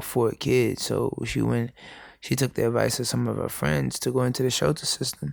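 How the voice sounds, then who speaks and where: At a moderate pace, the speaker talks in a New York accent. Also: man. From New York City, the Bronx. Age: 20s. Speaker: educator and speaker. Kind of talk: interview, personal life story. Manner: halting.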